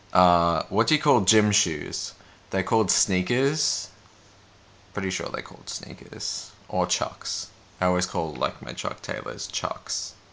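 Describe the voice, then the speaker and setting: With an Australian accent, a man talks at a fairly slow pace in a very deep, low pitch. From Australia, Albury, New South Wales. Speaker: vlogger. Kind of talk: casual chat; word list reading.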